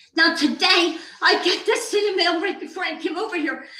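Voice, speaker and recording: With audible room echo, a woman projects a raised voice in a bright, sharp tone at a moderate pace with ordinary pitch variation. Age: 70s. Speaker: resident speaking at public comment. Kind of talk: public comment at council meeting. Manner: halting.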